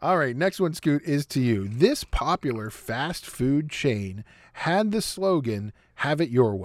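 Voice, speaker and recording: The voice moves at a fairly slow pace with very wide pitch swings, in a very clean recording with a silent background. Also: man, fairly high pitch for a man. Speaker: podcast host and sports fan. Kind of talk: casual chat.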